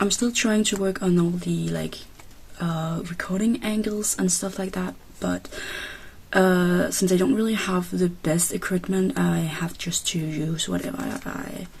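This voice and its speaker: Here a woman speaks with a non-native accent. Her pace is fairly slow. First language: not English. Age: 20s. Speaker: K-pop photocard collector vlogger. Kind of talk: casual vlog. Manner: halting.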